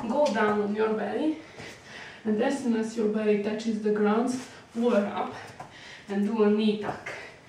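A woman at a moderate pace with fairly even intonation, audible room echo, and light background noise. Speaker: fitness instructor. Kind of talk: tutorial. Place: home room. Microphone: camera far.

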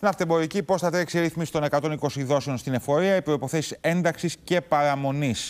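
Speaking at a moderate pace, a man holds a fairly high pitch. His intonation is fairly even and his loudness very even. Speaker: TV morning show co-host. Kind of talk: news talk show hosting. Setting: TV studio. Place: studio.

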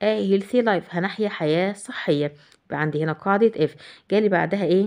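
Speaking with an Egyptian accent, a woman keeps a moderate pace and medium pitch with ordinary pitch variation. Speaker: English teacher. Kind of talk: tutorial.

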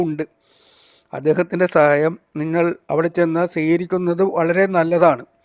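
In a dry, close recording with no echo and a silent background, very clean overall, a man speaks in a high pitch with a monotone, flat intonation. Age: 60s. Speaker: travel vlogger. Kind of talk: vlog narration. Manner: halting, with frequent pauses.

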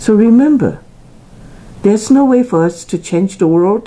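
A woman with a Taiwanese accent has a dark, mellow tone and sounds somewhat breathy. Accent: Taiwanese Chinese accent in English. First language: Chinese. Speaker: tea channel presenter; presenter. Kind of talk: personal motivational talk to camera. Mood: earnest, encouraging. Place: home room. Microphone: phone near.

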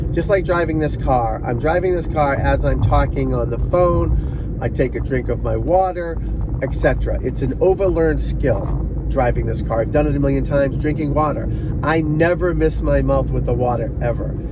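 A man's voice, dry and without echo, comes at a moderate pace against noticeable background noise. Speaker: golf instructor. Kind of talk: casual vlog chat. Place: car. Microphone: phone near.

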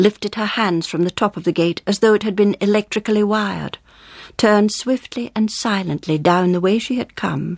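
What you hear is a natural reading voice.

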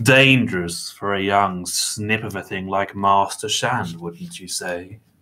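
A man puts on a character voice, low-pitched with a bright, sharp tone and ordinary pitch variation. He speaks at a slow pace, with audible room echo.

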